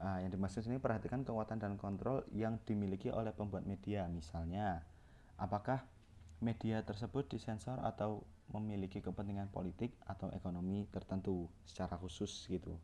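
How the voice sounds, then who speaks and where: A man's dark, mellow tone at a fairly low pitch, with a fairly quick pace, very even loudness and fairly even intonation. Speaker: university student. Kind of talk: student presentation lecture. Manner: halting, with restarts and fillers.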